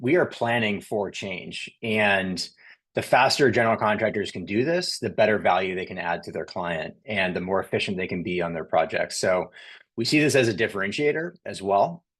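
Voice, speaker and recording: A man speaks in a fairly low pitch with lively intonation. The background is quiet. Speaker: software company presenter. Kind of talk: webinar presentation. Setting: online webinar. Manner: fast.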